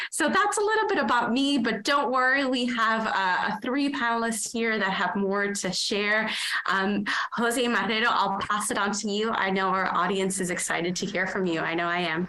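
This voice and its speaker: With a fairly high pitch and ordinary pitch variation, a woman talks at a moderate pace and very even loudness, with audible room echo and noticeable background noise. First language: Spanish. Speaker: panel moderator. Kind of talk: panel moderation.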